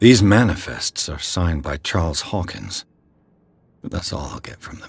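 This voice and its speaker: Somewhat breathy and very deep and low in pitch, a man speaks at a moderate pace with ordinary pitch variation and big swings in loudness. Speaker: streamer playing a horror game. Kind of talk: game commentary, thinking aloud while exploring.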